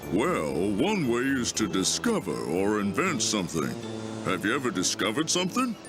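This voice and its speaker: Over loud background music, a man does a cartoonish character voice at a medium pitch and a moderate pace. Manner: gentle, measured.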